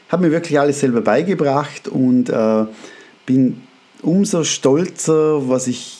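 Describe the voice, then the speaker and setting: A man with a fairly high pitch speaks at a very slow pace over noticeable background noise. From Austria. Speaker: photographer and podcast host. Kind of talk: casual monologue. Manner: hesitant with fillers.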